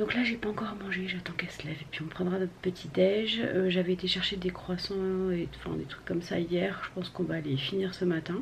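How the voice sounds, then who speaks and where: Over noticeable background noise, a woman talks at a fairly quick pace with hardly any pauses, at a medium pitch and with fairly even intonation. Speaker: vlogger. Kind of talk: casual vlog talk. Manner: hesitant with many fillers; soft-spoken.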